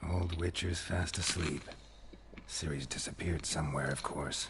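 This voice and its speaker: A man's put-on character voice, very deep and low in pitch, at a moderate pace with clear background noise. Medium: video game. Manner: dry, understated.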